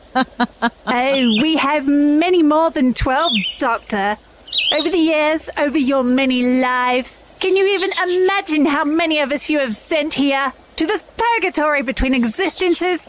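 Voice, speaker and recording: A female-sounding voice does a put-on character voice, high in pitch for a woman, at a moderate pace. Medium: audio drama. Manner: imperious, formal.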